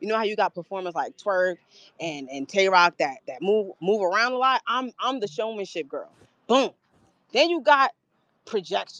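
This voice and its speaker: A loud, animated woman speaks at a medium pitch and a moderate pace, with very wide pitch swings and long, frequent pauses. The sound is dry and close with no echo, over a quiet background. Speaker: battle rapper. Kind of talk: interview. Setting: live stream.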